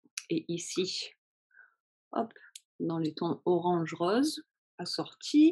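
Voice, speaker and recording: A woman speaks at a fairly low pitch. Her voice has a dark, mellow tone. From France. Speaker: knitting podcaster. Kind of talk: casual chat. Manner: hesitant, many fillers.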